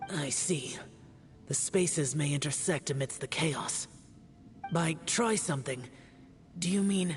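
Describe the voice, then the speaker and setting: A put-on character voice at a middle pitch and fairly slow pace, with clear background noise. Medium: video game. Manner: terse, grave.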